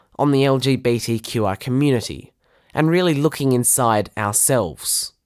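On a very clean recording with a silent background, a man with an Australian accent talks at a moderate pace with a medium pitch and ordinary pitch variation. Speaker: podcast host. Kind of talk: scripted narration.

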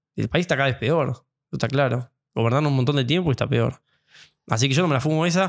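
On a very clean recording with a silent background, a man talks fairly quickly in an animated tone, his fairly high pitch showing ordinary variation. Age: 40s. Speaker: pianist and piano teacher. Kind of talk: casual interview conversation.

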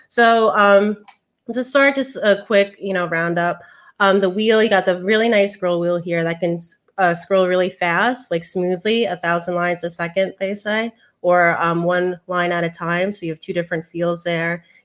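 This woman has a normal speaking voice, medium in pitch, at a moderate pace with fairly even intonation. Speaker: tech show host. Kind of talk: casual chat. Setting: video call.

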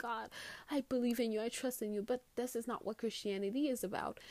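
Enthusiastic-toned woman at a moderate pace, ordinary pitch variation, very clean recording with a silent background. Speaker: podcast host. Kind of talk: solo podcast monologue about faith. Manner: casual, chatty, enthusiastic, with fillers and laughs.

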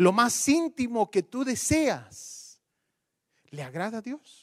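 On a very clean recording with a silent background, a man's voice sounds dry and close with no echo as his pitch swings very widely. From Guatemala. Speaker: pastor. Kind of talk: sermon.

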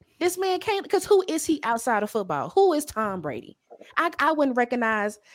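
With an animated tone and very wide pitch swings, the speaker keeps a moderate pace on a very clean recording with a silent background. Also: woman. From Louisiana. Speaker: podcaster. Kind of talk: casual chat.

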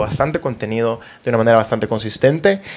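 A man speaks with ordinary pitch variation. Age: 20s. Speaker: podcast host and content creator. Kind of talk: casual chat. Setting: home studio.

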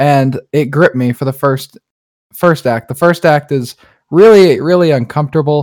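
A normal speaking voice with an American accent, ordinary pitch variation and a moderate pace, on a very clean recording with a silent background. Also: man, dry, close sound with no echo. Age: 20s. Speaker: podcast co-host. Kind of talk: casual chat.

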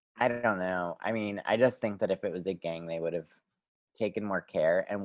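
In an American accent, a man talks at a moderate pace and fairly low pitch with fairly even intonation. He has an ordinary speaking voice, with a dry, close sound and no echo. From Pennsylvania. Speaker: podcast co-host. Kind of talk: casual chat.

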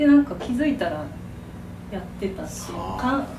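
A woman talks with ordinary pitch variation amid audible room echo and noticeable background noise. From Kyoto, Japan. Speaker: potter. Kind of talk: casual interview chat.

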